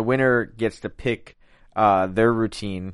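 Over a quiet background, a man with a Philadelphia accent speaks at a fairly slow pace. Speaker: after-show host. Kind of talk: casual chat recapping a TV show. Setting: studio.

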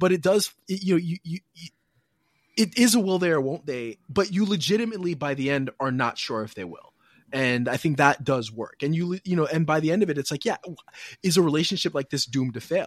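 A man's fairly quick, fairly high-pitched delivery with lively intonation, an ordinary speaking voice. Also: dry, close sound with no echo. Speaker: podcast host. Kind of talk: casual chat.

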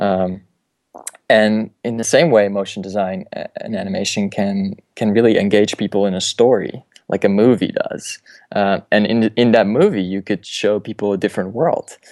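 In a Dutch accent, a man with a fairly low pitch talks at a moderate pace with fairly even intonation, the sound dry and close with no echo. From Netherlands. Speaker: motion designer. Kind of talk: interview.

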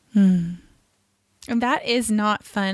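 A woman speaks in an American accent at a fairly high pitch. The recording is very clean, with a silent background. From California. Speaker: podcast host. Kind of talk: interview. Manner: enthusiastic.

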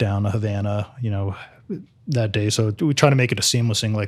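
Very fast and somewhat breathy, a man with an American accent speaks at a fairly low pitch on a very clean recording with a silent background. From New Jersey. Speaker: author and crime historian. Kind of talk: interview.

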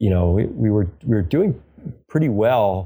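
A man with an American accent, a dark, mellow tone and a fairly slow pace, in a very clean recording with a silent background. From New York. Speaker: organic vegetable farmer. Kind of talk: interview. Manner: halting.

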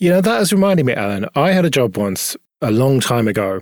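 An unremarkable speaking voice, this man talks at a medium pitch and a moderate pace with lively intonation, recorded dry and close with no echo. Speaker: podcast host. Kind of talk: casual tech podcast chat.

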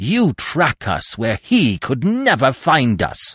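A man in a put-on character voice, speaking very slowly, with hissing. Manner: contemptuous, hateful.

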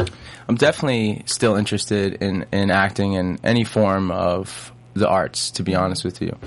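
A man with a New York accent talks at a moderate pace. His pitch is fairly low with ordinary variation. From Long Island, New York. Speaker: singer and actor. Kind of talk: interview.

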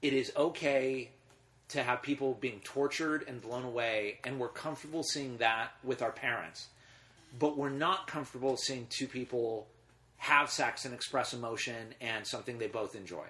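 This man has a bright, sharp tone at medium pitch. He keeps a moderate pace with ordinary pitch variation. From US West, Los Angeles. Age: 40s. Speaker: filmmaker and screening series founder. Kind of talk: casual interview.

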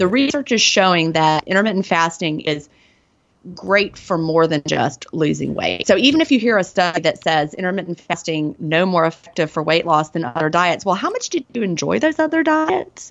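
A woman with a Southern US accent speaks at a moderate pace, her fairly low pitch carried by lively intonation. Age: 40s. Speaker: author and former teacher. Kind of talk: interview.

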